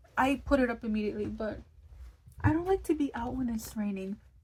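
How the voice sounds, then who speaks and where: At a fairly quick pace, a woman speaks in a fairly high, somewhat breathy voice. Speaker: lifestyle vlogger. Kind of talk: casual vlog. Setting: at home at night. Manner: whispering.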